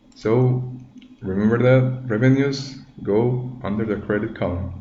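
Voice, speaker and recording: Heard through audible room echo and noticeable background noise, a man with a non-native accent speaks at a medium pitch with fairly even intonation. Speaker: tutorial maker, accounting student. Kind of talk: tutorial. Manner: halting, many fillers.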